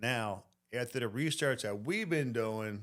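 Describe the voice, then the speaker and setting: A man with a fairly low pitch at a moderate pace, on a very clean recording with a silent background. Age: 60s. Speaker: plumber. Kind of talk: casual chat.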